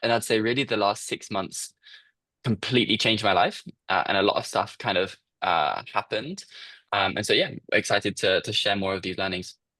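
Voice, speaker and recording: A man in a British accent speaks at a fairly quick pace against a quiet background. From UK. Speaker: startup founder. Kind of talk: interview.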